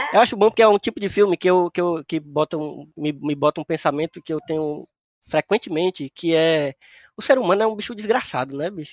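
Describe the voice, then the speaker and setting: In a dry, close recording with no echo and a quiet background, a man talks fairly quickly at a high pitch with ordinary pitch variation. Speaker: podcast host. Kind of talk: casual chat.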